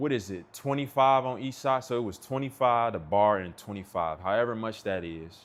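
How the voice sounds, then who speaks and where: This man talks at a fairly quick clip in a medium pitch. His tone is relaxed, with ordinary rises and falls. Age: 30s. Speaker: streamer. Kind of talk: casual chat. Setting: livestream from home on laptop. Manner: relaxed, conversational.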